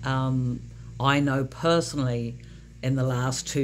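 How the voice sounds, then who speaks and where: A woman's voice at a very slow pace. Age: 60s. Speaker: self-published author. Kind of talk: casual talk to camera.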